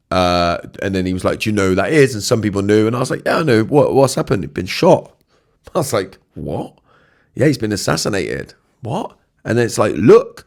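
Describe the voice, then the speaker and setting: In a very clean recording with a silent background, someone with a British accent speaks fairly quickly with lively intonation. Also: man, fairly low pitch for a man. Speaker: podcast host. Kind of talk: solo podcast reflection. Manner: casual, halting with fillers.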